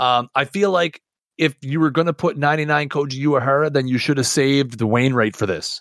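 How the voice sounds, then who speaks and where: Heard on a very clean recording with a silent background, a man in a normal speaking voice talks at a medium pitch and a moderate pace with ordinary pitch variation, the sound dry and close with no echo. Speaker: podcast co-host, gamer and streamer. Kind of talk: casual chat podcast about a video game.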